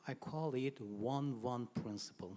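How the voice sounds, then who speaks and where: Very slow speech in a Persian accent, with ordinary pitch variation. The tone is dark and mellow. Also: man. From Iran. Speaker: translation teacher. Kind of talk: audience question.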